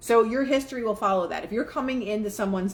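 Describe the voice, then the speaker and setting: A woman speaks at a very fast pace in an animated tone with ordinary pitch variation. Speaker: spiritual life coach livestreamer. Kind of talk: live stream talk on manifesting with reading aloud. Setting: live stream.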